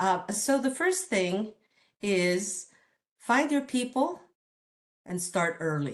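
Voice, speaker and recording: Speaking at a very slow pace with long, frequent pauses, a woman uses a medium pitch that moves in very wide swings. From Detroit, Michigan (born in Mexico City). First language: Spanish. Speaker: engineering professor. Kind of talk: talk.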